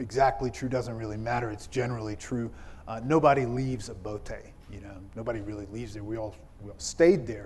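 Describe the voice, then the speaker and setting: Audible echo from the room surrounds a voice that is somewhat breathy. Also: man. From South Carolina, US South (born in Ethiopia). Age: 40s. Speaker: pastor. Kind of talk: keynote speech. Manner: conversational, many fillers.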